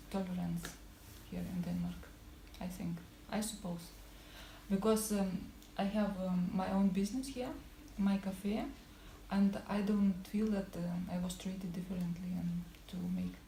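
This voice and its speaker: A woman with a non-native accent speaks at a medium pitch with fairly even intonation and long, frequent pauses, amid noticeable background noise and audible room echo. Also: fairly slow pace. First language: not English. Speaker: cafe owner. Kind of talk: interview. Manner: halting.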